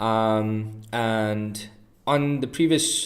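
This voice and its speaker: A man's fairly low voice with fairly even intonation. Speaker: trading streamer. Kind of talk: live stream commentary. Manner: mellow.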